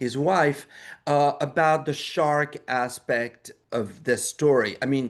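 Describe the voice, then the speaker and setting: Over a quiet background, a man with a French accent talks at a fairly high pitch with ordinary pitch variation. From France. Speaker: documentary filmmaker. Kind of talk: interview. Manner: halting, many repeated words.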